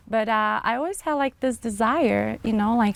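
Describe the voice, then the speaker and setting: The speaker is a woman. She speaks with a Brazilian accent. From small town in Brazil. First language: Portuguese. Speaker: marketing businesswoman. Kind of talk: interview, personal testimony. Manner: hesitant, many fillers.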